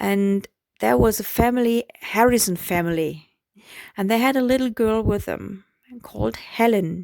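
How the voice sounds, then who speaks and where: The speaker talks with a German accent. Pitch variation is ordinary. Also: woman, medium pitch for a woman, moderate pace. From Germany. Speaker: vlogger. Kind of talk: personal storytelling. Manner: hesitant, with fillers.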